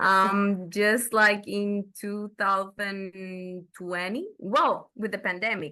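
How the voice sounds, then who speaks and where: Bright, sharp tone with a Dominican accent against a quiet background. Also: woman. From Dominican Republic. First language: Spanish. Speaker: film and TV reviewer. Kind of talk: casual chat. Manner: halting.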